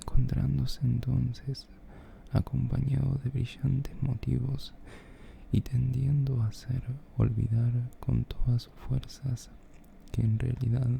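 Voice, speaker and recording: The speaker whispers at a very slow pace, broken by long, frequent pauses. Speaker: reader. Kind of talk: philosophy reading. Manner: whispered.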